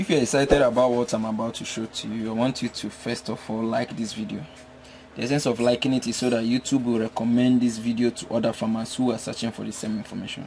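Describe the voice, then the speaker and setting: Delivered with a Nigerian accent, the speech runs very fast with fairly even intonation. Noticeable background noise is present. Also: man, medium pitch for a man. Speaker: poultry veterinarian and farmer. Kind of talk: tutorial.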